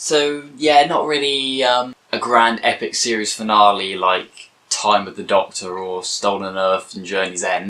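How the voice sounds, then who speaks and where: In an unremarkable speaking voice, a man talks at a fairly slow pace and a fairly low pitch, with ordinary pitch variation and big swings in loudness. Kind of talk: casual talk to camera, TV episode review.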